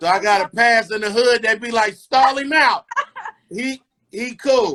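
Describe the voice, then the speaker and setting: A man at an extremely high pitch in a raised, projected voice, speaking at a fairly slow pace. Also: ordinary pitch variation. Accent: American. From California (LA area and Bay Area). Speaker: comedian and radio personality. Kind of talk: casual interview chat. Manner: animated.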